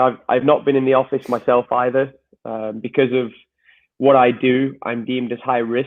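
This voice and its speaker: Here is a man with an English accent. His intonation stays monotone and flat. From northern England, Wigan. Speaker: soccer coach and podcaster. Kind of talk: interview conversation. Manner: halting.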